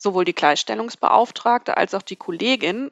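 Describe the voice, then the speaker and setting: Vocal fry runs through this woman's speech at a moderate pace. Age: 30s. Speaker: newspaper editor. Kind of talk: casual chat.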